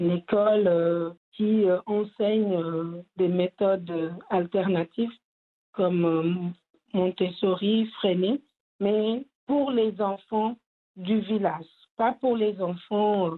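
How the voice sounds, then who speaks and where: Pausing long and often, a woman speaks at a very slow pace with a medium pitch, fairly even intonation and very even loudness. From Senegal. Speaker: theatre artist and cultural entrepreneur. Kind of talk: interview. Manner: halting.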